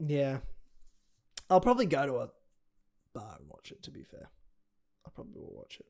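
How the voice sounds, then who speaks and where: With an Australian accent, a man speaks at a fairly quick pace, broken by long, frequent pauses. His loudness swings widely. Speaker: MMA podcast co-host. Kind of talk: casual chat.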